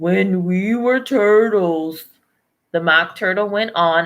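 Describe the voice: A quiet background behind plain reading aloud, its pitch varying in an ordinary way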